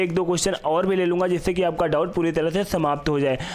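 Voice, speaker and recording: A man talks with fairly even intonation. Noticeable background noise and audible room echo surround him. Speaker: math teacher. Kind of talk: lecture.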